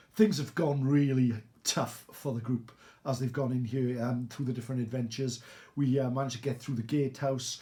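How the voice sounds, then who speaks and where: Somewhat breathy and at a medium pitch, a man speaks at a fairly quick pace with fairly even intonation. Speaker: tabletop gaming YouTuber. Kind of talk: game playthrough commentary. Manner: hesitant with many fillers.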